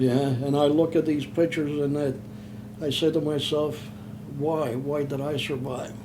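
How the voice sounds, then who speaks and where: In a Philadelphia accent, a man with a fairly high pitch speaks at a fairly slow pace with ordinary pitch variation and audible room echo. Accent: Philadelphia-area American. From Pennsylvania, Chester. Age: 70s. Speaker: war veteran. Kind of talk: oral history interview. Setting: in person, Philadelphia. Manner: halting.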